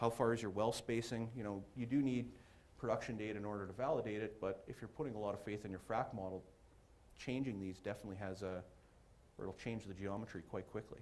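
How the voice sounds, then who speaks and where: A man speaks very fast with fairly even intonation, and room echo can be heard. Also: fairly low pitch for a man. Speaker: geoscience presenter. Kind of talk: technical presentation. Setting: conference room with audience.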